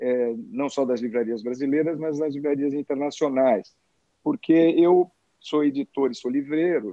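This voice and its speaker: The speaker is a man. His pitch is fairly high. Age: 60s. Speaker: publisher and bookseller. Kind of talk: casual interview chat. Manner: hesitant, many filler words.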